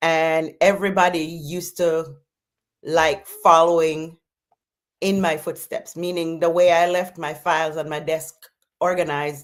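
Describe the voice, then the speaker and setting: At a fairly slow pace, a woman with a Jamaican accent speaks with a fairly low pitch and monotone, flat intonation. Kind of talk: interview answer.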